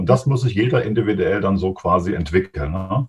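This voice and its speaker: Somewhat breathy, the voice moves at a fairly quick pace with lively intonation. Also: man. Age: 50s. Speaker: mental coach. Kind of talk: interview.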